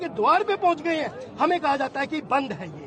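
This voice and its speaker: Over crowd noise in the background, a man speaks at an extremely high pitch. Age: 60s. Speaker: pilgrim interviewed at a festival. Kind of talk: angry complaint to reporter. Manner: halting.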